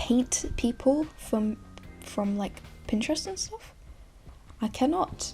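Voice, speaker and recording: A very slow pace broken by long, frequent pauses. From England. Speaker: art YouTuber. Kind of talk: casual voiceover chat over drawing time-lapse. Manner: rambling, filler-heavy.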